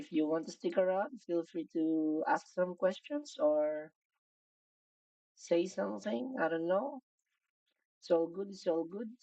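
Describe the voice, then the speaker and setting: A woman with a fairly low voice and a dark, mellow tone speaks at a fairly slow pace with a non-native accent. Her pitch swings very widely, and she takes long, frequent pauses. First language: not English. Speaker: digital artist streaming. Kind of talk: live stream drawing commentary. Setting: live stream. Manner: casual, thinking aloud.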